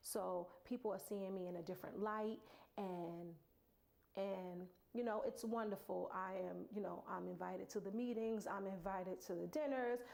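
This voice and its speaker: A woman speaks with a New York accent at medium pitch. Her pace is moderate, with ordinary pitch variation. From Brooklyn, New York. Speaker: motivational speaker. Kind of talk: personal story, motivational talk. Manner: halting.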